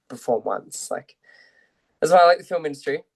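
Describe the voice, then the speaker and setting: Speaking with an Australian accent is a man. The sound is dry and close, with no echo. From Australia, Central Coast New South Wales. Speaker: actor. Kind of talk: interview chat.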